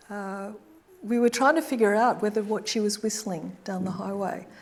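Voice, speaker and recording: With an Australian accent, a woman speaks with fairly even intonation. Noticeable background noise runs behind her. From Australia, Brisbane. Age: 70s. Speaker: artist. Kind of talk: audience Q&A after lecture. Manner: halting, hesitant.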